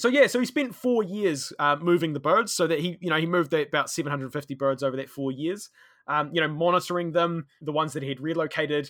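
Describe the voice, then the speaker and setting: Words come at a very fast pace. The recording is very clean, with a silent background. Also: man, fairly high pitch for a man, ordinary pitch variation. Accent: New Zealand. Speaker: conservation worker and history podcaster. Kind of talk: interview, storytelling.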